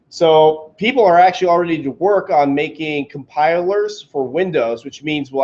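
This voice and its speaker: Loud speech at a moderate pace with ordinary pitch variation. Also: man. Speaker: meetup presenter. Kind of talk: tech talk to a meetup group. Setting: meeting room with audience, recorded on camera.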